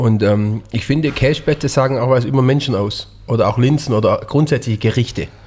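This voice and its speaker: A man talks at medium pitch. His voice is somewhat breathy. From Swabian Jura, Germany. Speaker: chef, podcast co-host. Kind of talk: casual chat.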